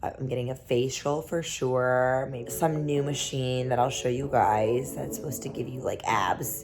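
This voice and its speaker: With music in the background and audible room echo, a woman speaks in a very deep, low voice with fairly even intonation. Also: moderate pace, hardly any pauses. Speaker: model and vlogger. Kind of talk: vlog.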